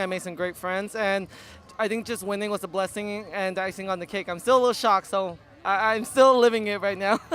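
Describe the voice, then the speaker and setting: A man with a slight Chinese accent talks at a fairly quick pace, his pitch high and his tone bright and sharp. His intonation stays monotone and flat. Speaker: pageant winner. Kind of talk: interview. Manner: halting.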